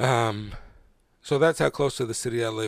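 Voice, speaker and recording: The voice carries vocal fry. Its pitch variation is ordinary. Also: man. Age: 30s. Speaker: podcast host. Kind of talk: solo monologue. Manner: halting, many fillers.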